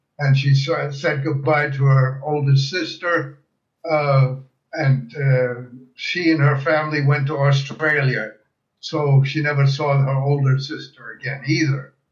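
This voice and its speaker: A man with a fairly high pitch speaks fairly slowly in a somewhat breathy, monotone, flat delivery. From Germany, Breslau (Silesia); emigrated to US at 13. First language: German. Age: 80s+. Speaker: World War II veteran and refugee. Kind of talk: interview testimony. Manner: halting, frequent fillers.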